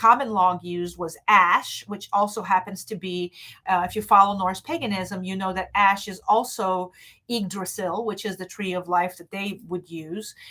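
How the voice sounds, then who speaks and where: With a non-native accent, a woman talks at medium pitch in a bright, sharp tone. Her pace is moderate and her intonation fairly even. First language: not English. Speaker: witchcraft teacher. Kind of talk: live stream talk. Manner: halting, many fillers.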